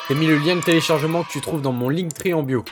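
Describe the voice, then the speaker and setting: Music plays behind a man. He speaks at a very fast pace. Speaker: gaming content creator. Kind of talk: tutorial. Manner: casual.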